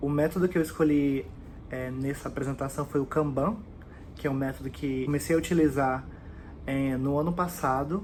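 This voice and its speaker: A man's fairly high voice at a moderate pace, with fairly even intonation and long, frequent pauses. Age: 20s. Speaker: job applicant, communications writer. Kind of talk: application video presentation. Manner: hesitant, many fillers.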